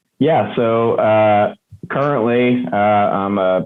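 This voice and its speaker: Fairly even intonation marks this man's speech, delivered with an American accent. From US Northeast, near Philadelphia. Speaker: construction company co-founder. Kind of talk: interview conversation.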